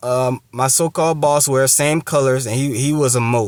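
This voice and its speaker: Fairly high-pitched, a man talks at a fairly slow pace with fairly even intonation. The sound is dry and close with no echo. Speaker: religious teacher. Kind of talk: testimony and scripture lesson. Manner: halting.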